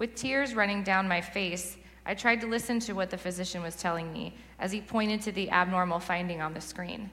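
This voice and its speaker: A woman with a Californian accent speaks at medium pitch with ordinary pitch variation, with audible room echo and noticeable background noise. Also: fairly quick pace. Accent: Californian American English. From Southern California. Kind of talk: sermon testimony.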